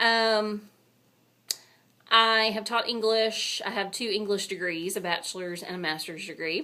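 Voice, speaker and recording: A woman talks at a fairly slow pace in a strong Texan accent. Her medium pitch shows ordinary pitch variation. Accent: thick Texan. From Texas. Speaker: booktuber and university public relations director. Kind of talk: casual video blog. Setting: office. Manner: casual, chatty.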